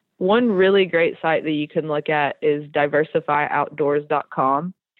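A woman with an American accent has an unremarkable speaking voice pitched fairly low. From Tennessee, US South. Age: 30s. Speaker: outdoor community founder. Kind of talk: interview.

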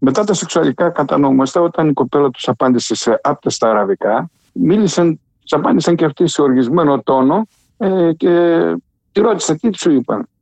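At a moderate pace and very even loudness, a man with an ordinary speaking voice and a fairly high pitch uses lively intonation in a dry, close sound with no echo. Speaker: writer and poet. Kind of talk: interview. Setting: phone call.

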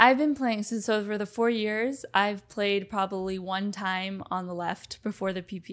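On a very clean recording with a silent background, a woman speaks in a normal speaking voice with an American accent. Her medium pitch, fairly even intonation and moderate pace hold throughout. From Miami, Florida. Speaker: professional padel player. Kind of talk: interview.

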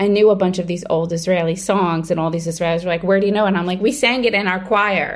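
A woman talks at a very fast pace. She has a New York accent. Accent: New York American. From US, Brooklyn, New York. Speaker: TV writer and creator. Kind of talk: interview.

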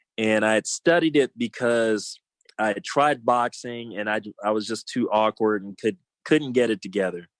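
In a Californian accent, a man talks with ordinary pitch variation against a quiet background. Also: medium pitch for a man, moderate pace, dry, close sound with no echo. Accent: Californian American. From South Los Angeles, California. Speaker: punk rock singer. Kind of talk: casual interview chat.

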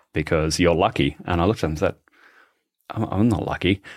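A man with an Australian accent speaks at a very deep, low pitch in a very clean recording with a silent background. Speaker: podcast host and shark expert. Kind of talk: casual interview chat.

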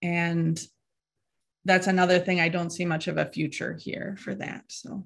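Against a quiet background, a woman with a fairly low pitch speaks somewhat breathily at a moderate pace in a monotone, flat intonation. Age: 40s. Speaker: actor and membership participant. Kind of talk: coaching call, asking questions. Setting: live online video call.

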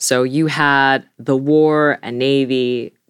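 A woman speaks in a very deep, low voice with ordinary pitch variation. The sound is dry and close with no echo, on a very clean recording with a silent background. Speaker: legal historian. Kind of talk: expert interview.

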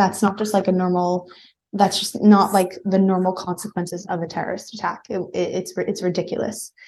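Somewhat breathy, a woman speaks at a fairly quick pace with a medium pitch and monotone, flat intonation. The background is quiet. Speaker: digital artist and social media manager. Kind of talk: interview. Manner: emotional.

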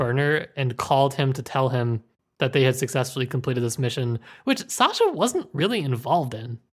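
The recording is very clean with a silent background, and the speech moves at a fairly quick pace. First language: not Russian; English. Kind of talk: casual book discussion. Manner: frequent repetitions and false starts.

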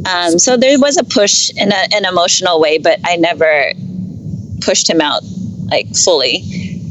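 A woman with a Californian accent at a moderate pace, her loudness very even, with noticeable background noise. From San Francisco Bay Area. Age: 30s. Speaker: podcast guest. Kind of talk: casual interview. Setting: Skype call while driving. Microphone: Skype call.

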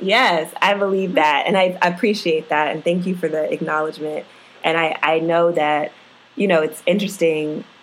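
A woman with a normal speaking voice talks at a fairly low pitch. Her pace is moderate, and her pitch variation is ordinary. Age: 30s. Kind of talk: interview.

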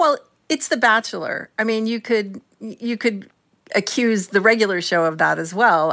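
A woman with a plain, everyday voice, fairly slow and with ordinary pitch variation, on a very clean recording with a silent background. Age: 60s. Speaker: culture columnist and critic. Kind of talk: radio interview.

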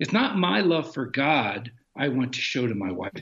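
With an American accent and vocal fry, a man talks at a moderate pace, his pitch swinging very widely. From Maryland, US. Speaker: family ministry founder and author. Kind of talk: interview. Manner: animated.

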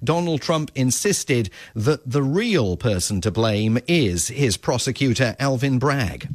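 The speaker is a man of medium pitch with a plain, everyday voice. His loudness stays very even. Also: lively intonation, hardly any pauses. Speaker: Washington correspondent. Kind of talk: news reporting, live radio update. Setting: remote live link from Washington.

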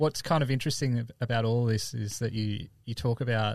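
Against a quiet background, a man with an Australian accent speaks at a fairly quick pace with fairly even intonation. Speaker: podcast host. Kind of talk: casual interview.

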